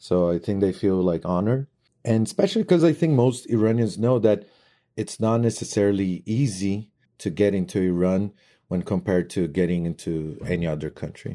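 In a Portuguese accent, the voice has a dark, mellow tone, ordinary pitch variation and a moderate pace, on a very clean recording, silent background. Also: man, fairly low pitch for a man. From Brazil. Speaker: foreign traveler sharing experience. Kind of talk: recorded testimony.

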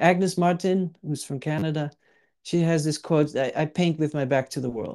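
This man's fairly high voice has a dark, mellow tone, moving at a moderate pace with fairly even intonation. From Netherlands. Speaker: artist and podcast co-host. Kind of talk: casual chat. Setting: video call.

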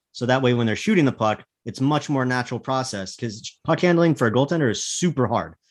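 Over a quiet background, a man talks at a fairly quick pace in a normal speaking voice. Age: 30s. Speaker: hockey analyst. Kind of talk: casual chat.

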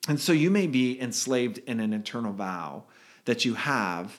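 On a very clean recording with a silent background, a man with a Californian accent talks at medium pitch with vocal fry and very wide pitch swings. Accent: General American (Californian). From California, Redwood City. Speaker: podcast co-host. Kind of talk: casual chat.

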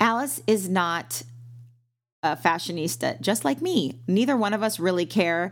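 A woman's medium-pitched voice carries vocal fry, with very wide pitch swings but very even loudness. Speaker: actress and podcast co-host. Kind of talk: casual chat. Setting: remote call. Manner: fast talker.

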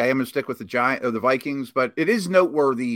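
In a plain, everyday voice with an American accent, a man speaks at a fairly quick pace with lively intonation on a very clean recording with a silent background. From Pittsburgh, Pennsylvania. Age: 40s. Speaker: former NFL scout, analyst. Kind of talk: casual sports chat.

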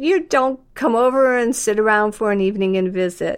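In a very clean recording with a silent background, a woman with a plain, everyday voice speaks at a fairly high pitch and a fairly slow pace, showing ordinary pitch variation. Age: 60s. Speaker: interviewee, mother-in-law of deaf town founder. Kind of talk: casual interview.

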